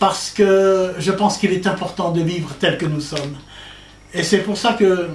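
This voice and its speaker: Room echo is audible, and there is noticeable background noise. A man talks in a high pitch at a fairly slow pace, with ordinary pitch variation. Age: 60s. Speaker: author. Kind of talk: public talk. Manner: halting.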